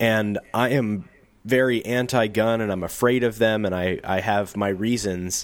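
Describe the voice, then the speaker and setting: With a Midwestern American accent, a man speaks at a fairly low pitch and a fairly slow pace. His intonation stays fairly even. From US Midwest, St. Louis County, Missouri. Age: 30s. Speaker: podcast host, YouTube creator. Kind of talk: casual chat.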